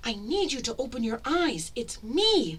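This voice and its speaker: In a put-on character voice, a female-sounding speaker talks at a moderate pace with a high pitch and very wide pitch swings over light background noise. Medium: read story. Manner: urgent, hushed.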